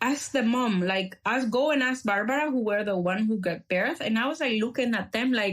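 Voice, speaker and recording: A woman with a Spanish accent, fairly high in pitch with ordinary variation, at a moderate pace with hardly any pauses and very even loudness. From El Salvador. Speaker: activist. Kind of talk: podcast conversation. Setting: podcast recording. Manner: halting with many fillers.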